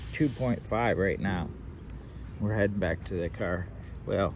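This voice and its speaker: A man talks at a fairly slow pace with vocal fry and ordinary pitch variation. The sound is dry with no echo, though there is noticeable background noise. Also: fairly low pitch for a man. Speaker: hiking vlogger. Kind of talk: casual vlog chat. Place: waterside. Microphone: phone near.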